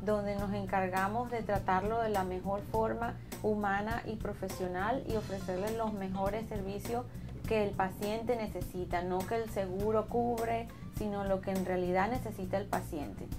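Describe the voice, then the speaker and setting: Over clear music in the background, a woman with a medium pitch speaks at a moderate pace with ordinary pitch variation. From Venezuela. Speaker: dentist. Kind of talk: promotional interview talk. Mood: warm, calm, professional. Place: office.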